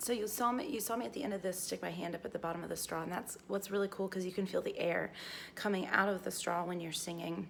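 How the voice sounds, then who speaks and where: A woman talks at a very fast pace and medium pitch with ordinary pitch variation, over noticeable background noise. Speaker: singer and teacher. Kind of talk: casual talk to camera.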